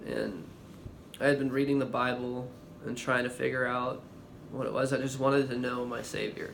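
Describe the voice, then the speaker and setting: A man with a medium-pitched voice talks at a moderate pace in a monotone, flat intonation. He takes long, frequent pauses, and the room echo is audible. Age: 20s. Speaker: vlogger. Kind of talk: testimony. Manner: halting, with pauses and stammering.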